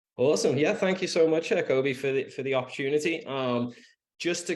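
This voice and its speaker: A man with an English accent and a fairly high voice. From England, Liverpool. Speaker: real estate agent. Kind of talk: podcast interview. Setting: podcast. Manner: halting, many fillers and restarts.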